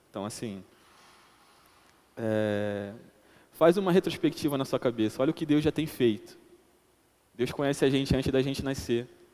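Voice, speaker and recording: The speaker has a dark, mellow tone and lively intonation. The pace is moderate, broken by long, frequent pauses. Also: man, medium pitch for a man. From Brazilian Northeast (Paraíba). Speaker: lay preacher. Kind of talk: sermon.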